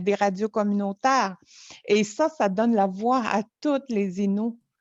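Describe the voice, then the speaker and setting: A woman's medium-pitched voice, very slow and fairly even in intonation, with a dry, close sound, no echo, and music in the background. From Quebec, Innu community of Natashquan. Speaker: storyteller. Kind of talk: interview conversation. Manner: halting.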